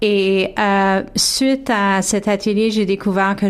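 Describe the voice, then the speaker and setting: This woman's medium pitch stays in a monotone, flat intonation as she talks at a very slow pace. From Toronto, Ontario (Franco-Ontarian). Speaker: singer. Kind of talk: radio interview. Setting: radio studio. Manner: halting.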